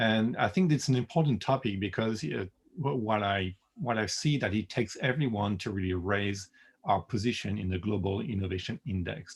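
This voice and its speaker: A somewhat breathy man's voice, fairly low in pitch, with a French accent, in a very clean recording with a silent background. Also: ordinary pitch variation, moderate pace. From France. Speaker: product designer. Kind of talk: presentation. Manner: hesitant, many fillers.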